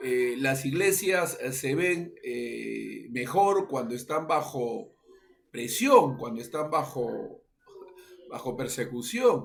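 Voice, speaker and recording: A man speaks very slowly in a fairly high voice with ordinary pitch variation. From Peru. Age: 60s. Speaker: pastor. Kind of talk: interview. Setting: radio interview. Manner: halting, many fillers.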